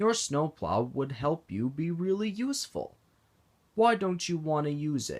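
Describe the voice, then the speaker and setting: A man uses a put-on character voice with a fairly high pitch. He talks at a moderate pace. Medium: read story. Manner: patient, kind.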